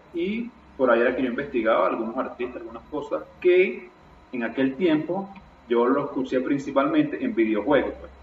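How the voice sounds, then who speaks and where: A man speaks at a moderate pace with lively intonation and a fairly high pitch for a man. There is noticeable background noise and audible room echo, and his loudness swings widely. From eastern Venezuela, Irapa, Sucre. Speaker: podcast co-host, DJ. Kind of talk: casual chat.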